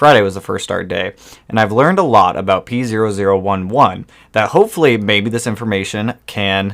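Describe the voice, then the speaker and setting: In a very clean recording with a silent background, a man with an unremarkable speaking voice talks fairly quickly at a fairly low pitch, with ordinary pitch variation. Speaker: live streamer working on a car. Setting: live stream with new microphone.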